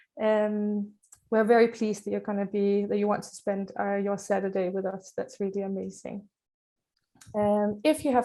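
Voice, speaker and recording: With a Danish accent and a dark, mellow tone, a woman speaks at a moderate pace in a monotone, flat intonation. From Denmark. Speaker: charity trustee, parent of a child with a rare syndrome. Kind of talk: conference introduction. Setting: virtual conference, video call. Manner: hesitant, many fillers.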